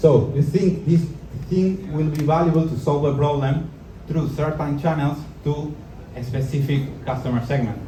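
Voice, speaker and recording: Audible room echo surrounds a man with a fairly high pitch and fairly even intonation. He keeps a moderate pace but takes long, frequent pauses. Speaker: entrepreneur and speaker. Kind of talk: live talk to an audience. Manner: halting.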